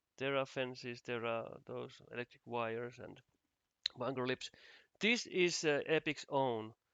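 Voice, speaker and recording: With a Finnish accent, a man speaks at medium pitch, keeping a fairly slow pace and fairly even intonation. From Finland. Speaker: game asset developer. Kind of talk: tutorial. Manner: halting.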